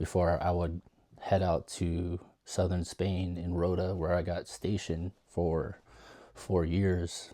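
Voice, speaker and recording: A man's very deep, low, dark and mellow voice, shaky and monotone with flat intonation, at a very slow pace on a very clean recording with a silent background. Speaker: DJ, former US Navy sailor. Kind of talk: casual storytelling to camera. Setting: home guest room. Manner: rambling, shaky voice.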